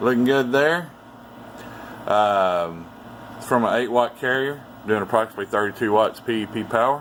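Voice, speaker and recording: A man with a medium-pitched voice and ordinary pitch variation talks with long, frequent pauses. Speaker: radio repair technician. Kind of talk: technical demonstration. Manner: fast.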